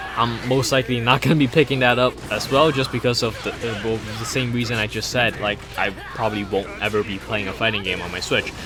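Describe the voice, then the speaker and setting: This man talks at a very fast pace in a medium pitch. His intonation stays fairly even while music plays in the background. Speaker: gaming YouTuber. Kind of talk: casual video commentary. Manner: halting, stuttering.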